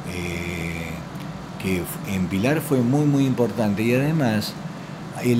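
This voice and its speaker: A man's medium-pitched voice with very wide pitch swings, a fairly slow pace, audible room echo and noticeable background noise. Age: 60s. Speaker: local historian. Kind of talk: interview.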